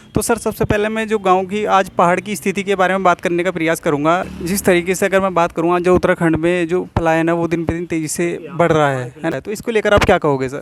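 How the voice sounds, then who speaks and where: A man's high-pitched voice with fairly even intonation and hardly any pauses, over noticeable background noise. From Uttarakhand, India. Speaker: YouTube interviewer. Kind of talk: street interview.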